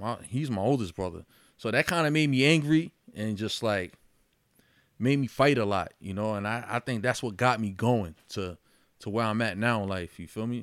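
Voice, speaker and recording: This man has an unremarkable speaking voice, fairly low in pitch with ordinary pitch variation. He talks at a moderate pace. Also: very clean recording, silent background. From Yonkers, New York. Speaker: boxer and mental health advocate. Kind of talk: casual chat.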